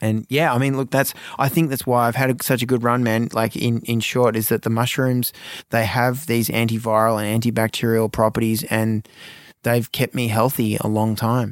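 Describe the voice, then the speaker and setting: On a very clean recording with a silent background, a man with an Australian accent speaks at medium pitch in a monotone, flat intonation with very even loudness. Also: moderate pace. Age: 40s. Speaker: supplement company co-founder. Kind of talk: interview. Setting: studio. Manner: hesitant with many fillers.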